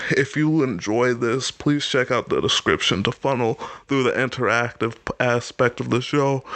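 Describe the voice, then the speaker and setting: A man of medium pitch, animated in tone, at a moderate pace. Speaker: podcast host. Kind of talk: casual podcast monologue. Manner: trying to be animated.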